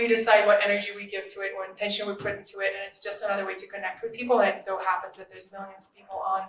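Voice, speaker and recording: A woman with a Russian accent speaks at a medium pitch, her intonation fairly even. There is audible echo from the room. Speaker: social media influencer and podcaster. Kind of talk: panel discussion.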